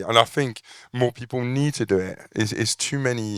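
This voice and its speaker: Recorded very cleanly against a silent background, a man talks at a moderate pace with ordinary pitch variation and a dry, close sound with no echo. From France. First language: French. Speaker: landscaper, business owner. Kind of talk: panel interview. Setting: event with live audience. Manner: halting, repeats words.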